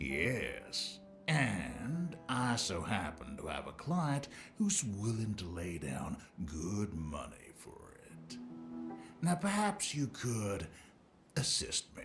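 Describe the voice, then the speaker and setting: A man's put-on character voice at medium pitch, very slow, with very wide pitch swings, big swings in loudness and clear music behind. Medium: video game. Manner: oily, wheedling.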